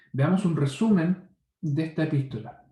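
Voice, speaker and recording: In a room with audible echo, a man talks with a dark, mellow tone, a somewhat breathy quality and ordinary pitch variation. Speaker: Bible teacher. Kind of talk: Bible study lecture. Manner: fast.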